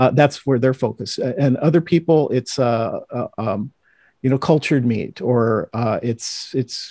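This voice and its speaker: With an American accent, a man talks very slowly in a dark, mellow tone, the sound dry and close with no echo over a quiet background. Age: 60s. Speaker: writer and content creator on plant-based food. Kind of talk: interview.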